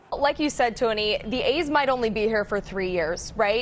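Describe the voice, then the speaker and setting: Noticeable background noise sits behind a woman whose fairly high voice carries lively intonation. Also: moderate pace. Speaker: TV news reporter and anchor. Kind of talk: broadcast news reporting. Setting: outdoors, on location at news scenes.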